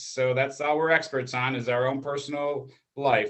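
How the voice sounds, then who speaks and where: Here a man speaks at a moderate pace in a fairly high pitch, with an American accent. His is a plain, everyday voice. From Chicago, Illinois. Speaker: family counselor and channel co-host. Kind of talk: casual chat. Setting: live stream.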